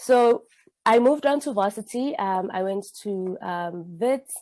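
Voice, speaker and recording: Against a quiet background, a woman speaks at a medium pitch and a fairly slow pace, her dark, mellow tone carrying ordinary pitch variation. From South Africa, Witbank. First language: Zulu. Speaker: social scientist. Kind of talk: talk. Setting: online talk. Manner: hesitant, many fillers.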